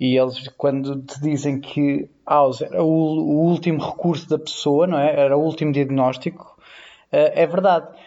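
A man with a European Portuguese accent has a fairly high pitch and a dark, mellow tone. He speaks at a fairly slow pace in a monotone, flat intonation. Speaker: nurse. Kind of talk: casual chat.

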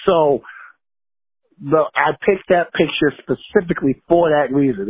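Lively intonation marks a man's somewhat breathy voice with an American accent, heard dry and close with no echo. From Long Island, New York. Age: 30s. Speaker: rapper. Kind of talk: interview. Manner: confident, motivational.

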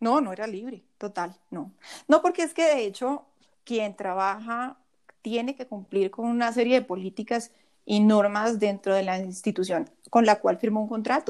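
A woman with an unremarkable speaking voice, fairly high in pitch and with ordinary pitch variation, speaks at a fairly slow pace on a very clean recording with a silent background. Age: 40s. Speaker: personal finance coach and former investment advisor. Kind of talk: interview conversation.

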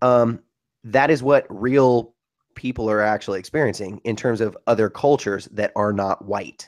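A normal speaking voice from a man, medium-pitched and fairly even in intonation, at a moderate pace with a dry, close sound and no echo. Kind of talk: casual chat.

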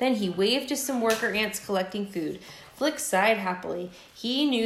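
The voice is a natural reading voice. It stays that way throughout.

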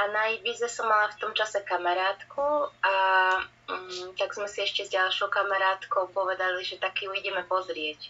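With music in the background, a woman talks at a moderate pace. Her pitch is medium. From Slovakia, Banská Bystrica. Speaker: musician and singer. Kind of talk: casual interview.

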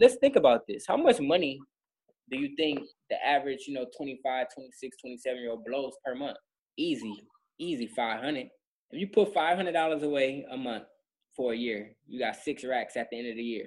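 Speaking at a moderate pace, a man has a fairly high pitch with ordinary pitch variation. His loudness shows big swings. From Inglewood, Los Angeles. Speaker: financial advisor. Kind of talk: podcast interview.

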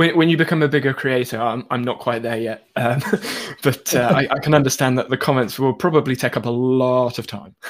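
A man with a medium pitch sounds enthusiastic at a fairly quick pace. Noticeable background noise is audible. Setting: live stream, video call. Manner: fast, enthusiastic talker.

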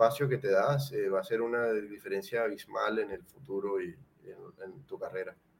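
Using a normal speaking voice, a man talks at a medium pitch and a moderate pace. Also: hardly any pauses, big swings in loudness. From Colombia, Cartagena. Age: 30s. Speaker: painter. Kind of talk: casual interview chat.

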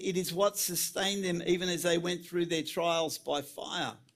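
Over music in the background, a man speaks at a moderate pace with a high pitch. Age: 60s. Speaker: preacher. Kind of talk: sermon. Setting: church.

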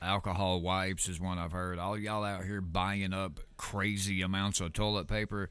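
The speaker is a man with a very deep, low pitch. He talks with hardly any pauses. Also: moderate pace. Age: 30s. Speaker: podcast host. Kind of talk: casual podcast monologue. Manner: animated.

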